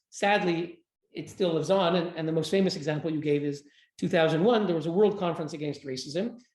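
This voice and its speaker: Talking at a very fast pace, a man with a high pitch uses ordinary pitch variation. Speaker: human rights advocate. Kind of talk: interview.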